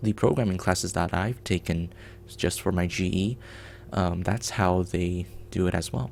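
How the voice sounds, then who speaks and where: A man with a Mandarin accent speaks at a moderate pace in a very deep, low pitch. Music plays in the background. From China. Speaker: game developer streamer. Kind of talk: live coding stream chat. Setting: live stream.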